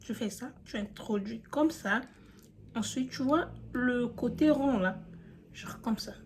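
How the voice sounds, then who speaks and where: A woman with a non-native accent speaks in a somewhat breathy voice with fairly high pitch and lively intonation. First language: not French (speaking French). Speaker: beauty youtuber. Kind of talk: tutorial. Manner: casual, chatty.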